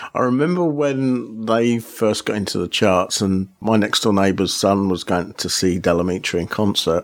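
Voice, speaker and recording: A fairly low-pitched man with a southern English accent, moderate pace, lively intonation and hardly any pauses. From Aylesbury, southern England. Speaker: podcast host. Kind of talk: podcast hosting and interviews. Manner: upbeat.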